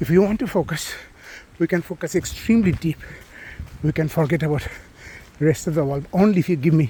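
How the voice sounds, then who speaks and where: At a fairly quick pace, a man talks with a high pitch and ordinary pitch variation. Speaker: doctor vlogger. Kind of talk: casual monologue while out running. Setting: outdoors. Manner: fast.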